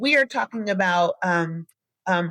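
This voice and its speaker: Her pitch varies in an ordinary way as a woman speaks in a dry, close sound with no echo. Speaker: podcast host. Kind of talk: solo podcast monologue. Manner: animated, addresses listeners as y'all; fast.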